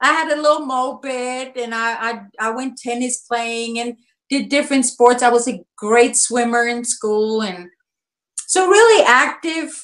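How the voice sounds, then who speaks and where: Her pitch sits high. This woman talks rather slowly. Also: ordinary pitch variation. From Germany, Nuremberg. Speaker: activist parent. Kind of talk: interview.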